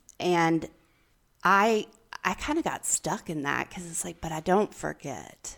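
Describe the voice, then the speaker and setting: A woman's fairly low voice at a fairly slow pace, with vocal fry and big swings in loudness, in a very clean recording over a silent background. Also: ordinary pitch variation. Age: 40s. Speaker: podcast co-host, recovery coach. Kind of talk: casual chat.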